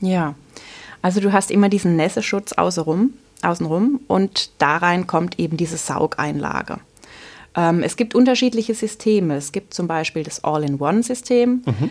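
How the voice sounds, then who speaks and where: A woman with a normal speaking voice, medium in pitch, at a moderate pace with lively intonation, on a very clean recording with a silent background. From Southern Palatinate, Germany. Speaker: teacher and cloth diaper consultant. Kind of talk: podcast interview.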